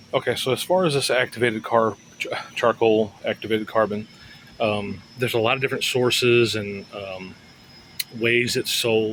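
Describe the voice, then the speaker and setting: Noticeable background noise behind a man at medium pitch, with ordinary pitch variation and a moderate pace. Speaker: home gardener. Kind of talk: casual talk to camera. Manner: hesitant, stammering.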